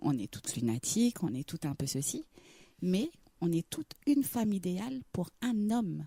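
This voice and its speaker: Speaking at a moderate pace and a medium pitch, a woman makes very wide pitch swings in a somewhat breathy, dark, mellow tone, recorded with a dry, close sound and no echo. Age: 30s. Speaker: singer. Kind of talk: radio interview.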